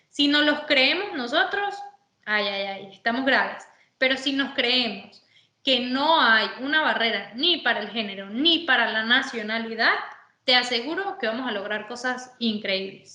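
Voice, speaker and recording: With a high pitch and a bright, sharp tone, a woman speaks at a fairly slow pace with lively intonation. Audible room echo can be heard. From Venezuela. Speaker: sports manager, former footballer. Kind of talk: interview.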